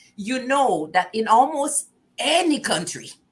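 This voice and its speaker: In a Quebec accent, the speaker moves at a very slow pace with a bright, sharp tone. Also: woman. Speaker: talk show host. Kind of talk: casual interview chat.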